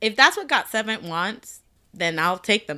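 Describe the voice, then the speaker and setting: Bright, sharp, and full of lively intonation, a woman's voice moves at a moderate pace in a very clean recording with a silent background. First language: not English. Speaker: podcast co-host. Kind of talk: casual chat.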